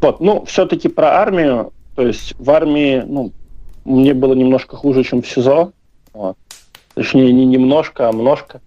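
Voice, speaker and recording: A man with a dark, mellow tone talks at a fairly slow pace, leaving long, frequent pauses. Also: medium pitch for a man, ordinary pitch variation. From Belarus. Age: 20s. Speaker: activist, former soldier. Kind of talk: interview. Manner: hesitant, many fillers.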